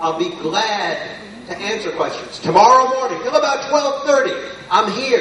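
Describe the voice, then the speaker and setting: A loud man with very wide pitch swings, audible room echo and noticeable background noise. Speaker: international tax expert presenter. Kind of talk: conference presentation. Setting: stage with audience.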